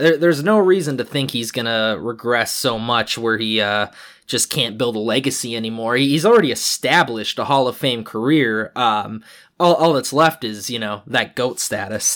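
An unremarkable speaking voice with an American accent, moderate pace and ordinary pitch variation, in a very clean recording with a silent background. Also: man, medium pitch for a man. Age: 20s. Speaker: sports podcast host. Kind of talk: solo sports podcast commentary. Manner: many filler words and repetitions.

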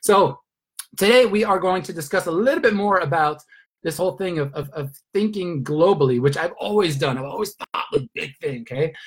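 A man with a high voice, lively intonation and an enthusiastic tone. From Sweden. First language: Swedish. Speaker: network marketing leader. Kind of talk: motivational training call.

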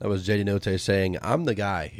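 A man talks at a moderate pace in a fairly low pitch, with an unremarkable speaking voice. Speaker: sports radio host. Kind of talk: casual sports banter. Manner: playful, teasing.

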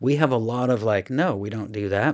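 Speaking with a Midwestern US accent, a man uses a fairly low pitch at a moderate pace. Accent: General American, Midwestern. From US Midwest, Iowa (Des Moines). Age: 40s. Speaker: children's minister. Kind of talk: interview testimony. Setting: studio at a conference.

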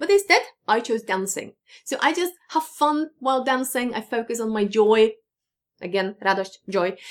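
A woman's fairly high, animated voice in a Polish accent, with lively intonation at a moderate pace. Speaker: English teacher. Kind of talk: tutorial.

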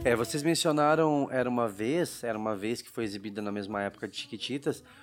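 Music plays in the background while a man of medium pitch talks at a moderate pace with ordinary pitch variation. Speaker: podcast host. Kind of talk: casual chat; scripted narration.

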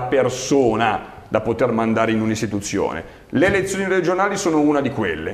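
This man talks at a fairly quick pace with a medium pitch and very wide pitch swings. Audible room echo and noticeable background noise fill the recording. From Milan, northern Italy. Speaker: local politician, regional election candidate. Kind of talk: interview. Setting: studio.

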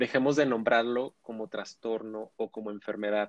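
A man with an unremarkable speaking voice, medium in pitch, fairly even in intonation, at a moderate pace. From Mexico, Ciudad Juárez. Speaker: sexologist. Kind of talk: expert interview.

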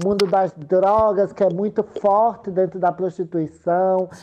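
At a fairly slow pace, a woman talks in a plain, everyday voice with fairly even intonation. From Sergipe, Brazil. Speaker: political candidate and activist. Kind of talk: interview.

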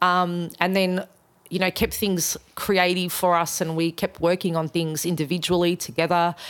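A woman's fairly low voice in an Australian accent, monotone and flat, at a moderate pace with very even loudness, on a very clean recording with a silent background. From Australia, Melbourne. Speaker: musician and event organiser. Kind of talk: casual interview.

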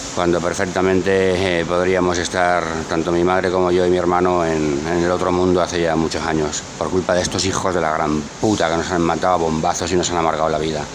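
Over noticeable background noise and audible room echo, a man with a very deep, low pitch talks at a fairly quick pace in a monotone, flat intonation with very even loudness. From Barcelona, Spain. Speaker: political talk show commentator. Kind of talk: heated political chat.

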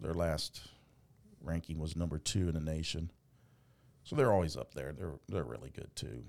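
A man's very deep, low voice with vocal fry, ordinary pitch variation, a moderate pace and long, frequent pauses. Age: 50s. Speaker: podcast host and sports announcer. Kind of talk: casual sports chat. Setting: studio.

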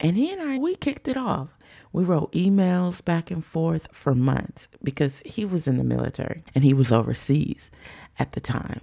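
Her pitch fairly low, a woman speaks at a moderate pace in an animated tone, swinging very widely between high and low. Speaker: podcast host. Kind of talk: solo podcast monologue.

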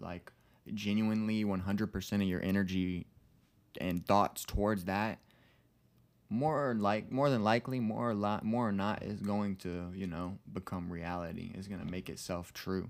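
The recording is very clean, with a silent background. A man with a fairly low pitch talks at a moderate pace in an ordinary speaking voice, varying his pitch normally. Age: 20s. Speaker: podcast co-host. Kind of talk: casual chat. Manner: casual, filler-heavy.

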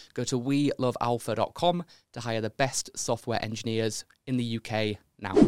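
A man with a Yorkshire accent talks at a fairly slow pace with fairly even intonation. The sound is dry and close with no echo, on a very clean recording with a silent background. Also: medium pitch for a man. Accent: Yorkshire, slightly milder. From York, England. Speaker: podcast host. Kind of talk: interview with ad read.

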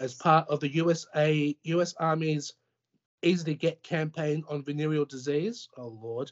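Fairly slow in pace and fairly even in intonation, a man talks with an Australian accent.

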